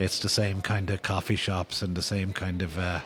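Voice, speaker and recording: A man's very deep, low voice in an Irish accent, monotone and flat, at a moderate pace. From Ireland. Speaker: novelist. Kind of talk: podcast interview answer.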